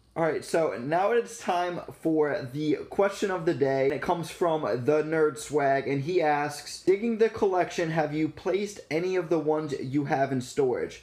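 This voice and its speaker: Ordinary pitch variation and a moderate pace from a man. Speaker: vending business vlogger. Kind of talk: casual vlog chat. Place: home room. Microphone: phone near.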